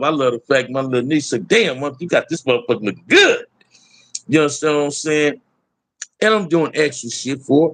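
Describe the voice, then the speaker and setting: Lively intonation marks a man's fairly high-pitched voice at a moderate pace. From Los Angeles, US. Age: 60s. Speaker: YouTube livestream host. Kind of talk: casual livestream chat.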